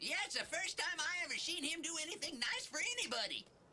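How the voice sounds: A cartoonish character voice at an extremely high pitch rattles along at a very fast pace over clear background noise.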